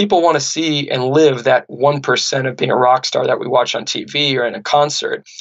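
A man with a Californian accent, a fairly high pitch, and a moderate pace. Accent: General American (Californian). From US West Coast (Santa Barbara, California). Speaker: podcast host, author, former pro squash player. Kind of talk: interview conversation.

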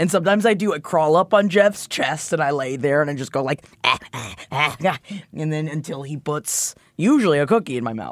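A woman with an American accent speaks at a very deep, low pitch. Her tone is animated and her intonation lively. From Florida, US. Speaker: podcast co-host, voice specialist. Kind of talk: casual chat. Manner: animated, jokey.

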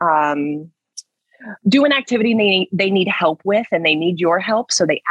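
A woman talks at a moderate pace in a fairly low pitch, using an ordinary speaking voice with lively intonation. The sound is dry and close, with no echo. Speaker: speech therapist.

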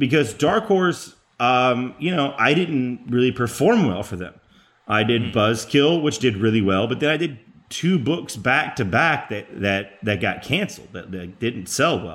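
With an American accent, a man speaks at a moderate pace. His medium-pitched voice makes very wide pitch swings. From Texas, Garland near Dallas. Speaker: comic book writer. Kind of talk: interview.

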